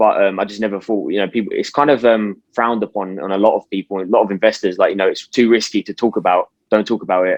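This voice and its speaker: A man with a British accent and fairly low pitch, at a very fast pace with hardly any pauses and fairly even intonation. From UK. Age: 20s. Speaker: stock market YouTuber. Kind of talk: interview. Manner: casual.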